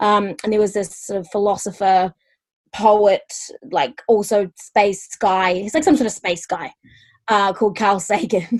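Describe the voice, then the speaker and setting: A woman with a New Zealand accent speaks at a fairly slow pace. Her pitch is medium, with ordinary pitch variation. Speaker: stand-up comedian. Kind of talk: casual interview chat. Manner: hesitant, many fillers.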